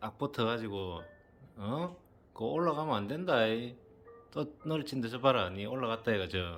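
A man at a medium pitch with a Busan accent, very wide pitch swings, a moderate pace and long, frequent pauses, over music in the background. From Busan, South Korea. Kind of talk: casual talk to a pet.

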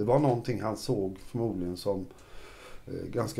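Lively intonation runs through this man's moderately paced speech. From Sweden, Kalmar county; Sweden. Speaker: journalist and political scientist; interviewee. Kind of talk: interview about church history. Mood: calm, relaxed. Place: studio. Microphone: lapel.

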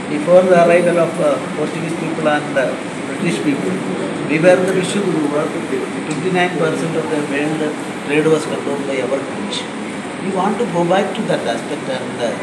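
Loud background noise surrounds a man who talks at a moderate pace with ordinary pitch variation. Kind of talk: interview answer. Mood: calm, pleased. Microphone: handheld.

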